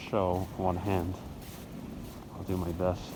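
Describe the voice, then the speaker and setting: Noticeable background noise and audible room echo surround speech delivered at a fairly slow pace. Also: man. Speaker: weather vlogger. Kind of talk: outdoor weather update vlog. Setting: outdoors in a blizzard.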